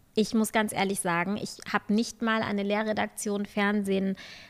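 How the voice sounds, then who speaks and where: This woman talks with a medium-pitched voice. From Germany. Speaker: journalist. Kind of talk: interview.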